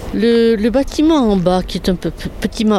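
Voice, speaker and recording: Female speech at a medium tempo amid noticeable background noise. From southwestern France. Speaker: Protestant nun, prioress. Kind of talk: interview on a guided visit. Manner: halting, with repetitions.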